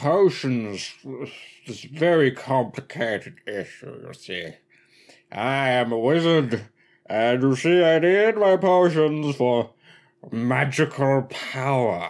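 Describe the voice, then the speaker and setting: A man's put-on character voice at a medium pitch, fairly slow, in a very clean recording with a silent background. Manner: rambling, slurred, then cranky.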